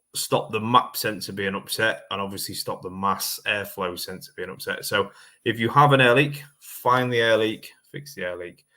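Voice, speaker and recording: A man mumbles at a moderate pace in a bright, sharp tone. His pitch is medium with ordinary variation, and the recording is very clean over a silent background. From eastern England. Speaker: car mechanic and livestream host. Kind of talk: live-stream chat answering viewer comments. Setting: livestream. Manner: mumbly.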